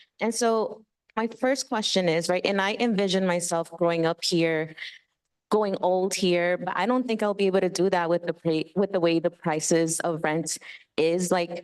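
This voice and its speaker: A woman with an American accent speaks in an unremarkable speaking voice at medium pitch, with ordinary pitch variation, a moderate pace and very even loudness. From Queens, New York City. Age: 30s. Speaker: community member at public meeting. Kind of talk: public comment at community meeting.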